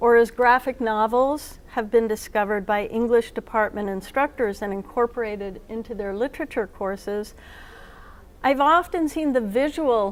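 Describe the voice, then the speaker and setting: Her pitch is fairly high, with ordinary variation. The woman keeps a moderate pace. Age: 60s. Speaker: comics editor and keynote speaker. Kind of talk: keynote lecture.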